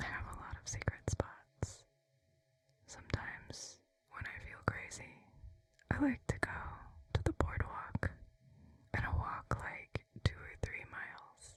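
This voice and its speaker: The speaker whispers at a fairly slow pace. Long pauses come often. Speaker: ASMR artist. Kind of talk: ASMR whisper vlog. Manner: soft whispered.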